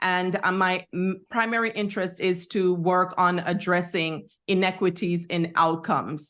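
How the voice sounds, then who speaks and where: The speaker talks at a fairly slow pace with a slight Jamaican accent and hardly any pauses. The intonation is monotone and flat. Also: woman, medium pitch for a woman. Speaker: psychotherapist and researcher, entrepreneur. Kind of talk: interview.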